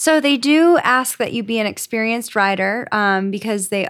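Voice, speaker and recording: An unremarkable speaking voice belongs to a woman with an American accent and fairly high pitch. Her pitch varies in an ordinary way, and the recording is very clean with a silent background. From Florida. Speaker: police officer. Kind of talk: casual chat.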